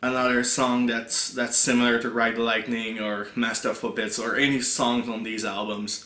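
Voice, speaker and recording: A man's bright, sharp voice in a French accent, with audible room echo. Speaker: music reviewer, YouTuber. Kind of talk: casual video review. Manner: halting, many fillers and repeats.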